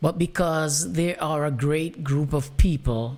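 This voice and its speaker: A woman with a Jamaican accent speaks at a very slow pace in a very deep, low pitch with ordinary pitch variation, on a very clean recording with a silent background. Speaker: talk show host. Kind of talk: monologue commentary.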